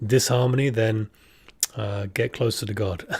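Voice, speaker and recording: A man speaks with a British accent at a medium pitch. His voice is somewhat breathy, with ordinary pitch variation. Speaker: podcast co-host. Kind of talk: live-streamed spiritual podcast chat. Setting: live stream with camera.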